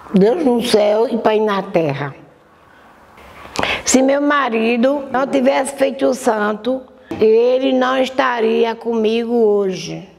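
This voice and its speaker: The pace is very slow, with ordinary pitch variation. Room echo is audible. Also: woman. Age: 70s. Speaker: religious community elder. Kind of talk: testimony.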